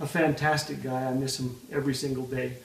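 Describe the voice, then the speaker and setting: With a Canadian accent, a man speaks amid noticeable background noise and audible room echo. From Canada. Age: old. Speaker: author and speaker, comedian. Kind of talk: interview. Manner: rapid fire delivery; animated.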